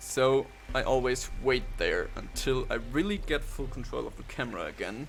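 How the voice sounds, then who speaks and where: A man talks at a moderate pace in a room with audible echo. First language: not English. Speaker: speedrunner. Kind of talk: live gameplay commentary.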